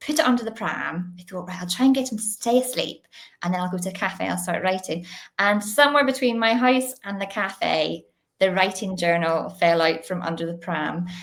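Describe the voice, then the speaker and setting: Here a woman speaks in a Northern Irish accent. Her pitch is medium and her intonation lively. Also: moderate pace. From Northern Ireland, Belfast. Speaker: children's author. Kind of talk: interview.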